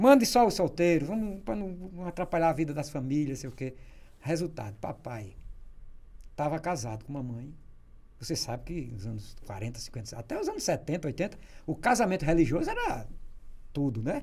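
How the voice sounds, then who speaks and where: With vocal fry and a dark, mellow tone, a man of fairly high pitch speaks at a moderate pace, swinging widely in pitch and taking long, frequent pauses. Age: 60s. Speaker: journalist. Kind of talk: casual interview storytelling.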